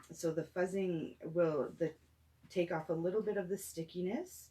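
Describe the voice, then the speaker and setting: A soft-spoken woman talks at a fairly slow pace, her fairly low pitch carrying vocal fry and a dark, mellow tone. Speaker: craft tutorial host. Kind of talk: tutorial. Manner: hesitant, many fillers.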